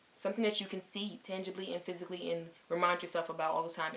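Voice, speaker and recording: Over noticeable background noise, a woman talks at a very fast pace with a fairly low pitch and fairly even intonation. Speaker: lifestyle vlogger. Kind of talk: casual vlog talk to camera.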